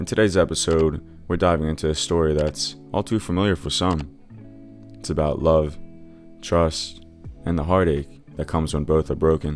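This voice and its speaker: A man's very deep, low voice at a moderate pace, fairly even in intonation, broken by long, frequent pauses, with music in the background. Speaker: story narrator. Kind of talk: reddit story narration.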